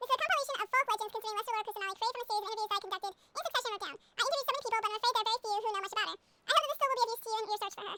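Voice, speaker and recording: A put-on character voice is squeaky and extremely high in pitch. It moves at a very fast pace. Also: hardly any pauses. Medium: video game. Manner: gentle, apologetic.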